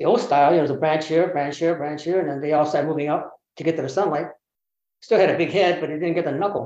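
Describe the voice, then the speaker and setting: A man with a Californian accent talks at a very fast pace. His tone is dark and mellow, with fairly even intonation. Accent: Californian American English. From US West Coast, Berkeley, California. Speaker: bonsai teacher. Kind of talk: casual interview.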